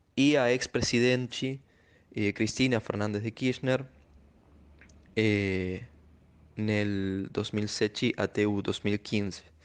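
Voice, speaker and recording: With a fairly low pitch and fairly even intonation, a man speaks at a very slow pace with long, frequent pauses. The background is quiet. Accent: Spanish. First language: Spanish (speaking Portuguese). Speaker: sociologist. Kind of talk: recorded commentary. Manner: halting, with fillers.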